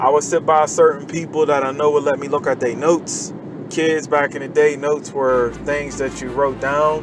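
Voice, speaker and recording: Against noticeable background noise, a man with a fairly high pitch speaks at a moderate pace in a relaxed tone with flat, monotone intonation. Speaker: vlogger giving life advice. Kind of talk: casual monologue while driving. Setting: in a car, stuck in traffic. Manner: relaxed, conversational.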